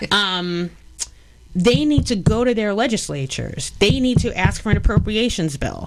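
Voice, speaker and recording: With a New York accent, a woman speaks at medium pitch and a moderate pace, her intonation lively. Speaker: election policy expert. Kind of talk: radio interview. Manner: animated.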